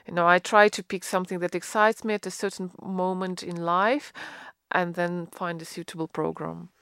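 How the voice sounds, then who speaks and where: In a very clean recording with a silent background and a dry, close sound with no echo, a woman with a Russian accent speaks at medium pitch and a moderate pace with fairly even intonation. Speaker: concert pianist. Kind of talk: interview. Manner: halting.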